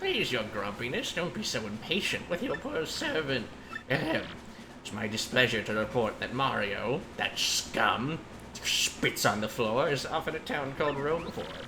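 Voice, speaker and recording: A man puts on a character voice at a medium pitch and a moderate pace. Loud background noise runs behind him. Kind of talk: overly polite, formal. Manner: groveling, scheming.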